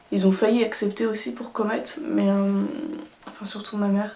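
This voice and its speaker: A woman at medium pitch, moderate pace, in an ordinary speaking voice. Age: 20s. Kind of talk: casual storytime talk to camera.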